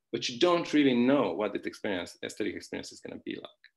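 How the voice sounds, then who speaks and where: A man with a Hungarian accent speaks at a fairly quick pace. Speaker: philosophy professor. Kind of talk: academic conference talk. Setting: online conference. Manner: hesitant, many fillers and restarts; informal, conversational.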